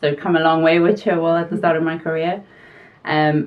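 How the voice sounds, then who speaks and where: In a South African accent, a woman with a very deep, low pitch speaks at a fairly quick pace. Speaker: pharmaceutical quality consultant. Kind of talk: interview.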